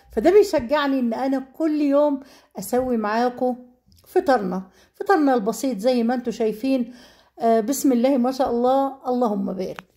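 This woman has a high pitch and a dark, mellow tone. She speaks at a fairly slow pace with lively intonation. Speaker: cooking vlogger. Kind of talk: cooking tutorial.

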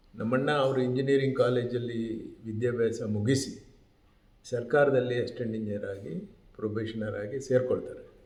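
A somewhat breathy male voice in a room with audible echo. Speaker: retired civil servant, brother of the subject. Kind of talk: interview testimony. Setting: at home.

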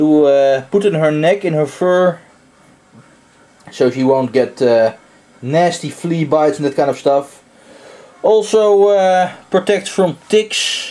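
Long, frequent pauses break up speech that moves at a very slow pace. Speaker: vlogger. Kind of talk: casual vlog chat. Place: home room. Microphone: phone near.

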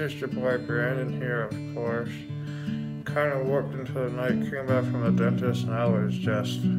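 Loud music plays in the background as a man talks at a fairly slow pace. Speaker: vlogger. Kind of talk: casual vlog chat. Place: home room. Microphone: phone near.

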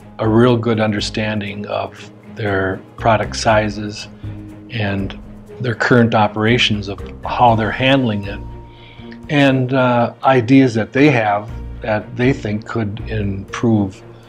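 Faint music plays in the background as a man speaks very slowly. His pitch is fairly low and his intonation fairly even. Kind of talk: corporate explainer to camera. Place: office.

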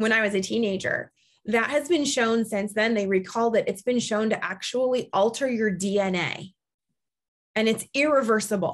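Over a quiet background, a woman with an American accent talks at a moderate pace in an animated tone. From US Midwest. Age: 40s. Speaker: podcast host, keto coach. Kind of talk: casual chat. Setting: video call. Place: home room. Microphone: video call.

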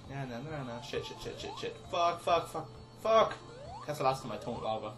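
Over clear music in the background, the speech runs at a moderate pace with big swings in loudness. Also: man. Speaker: let's play gamer. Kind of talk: casual gameplay commentary. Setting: home recording, mic far away. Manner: quiet.

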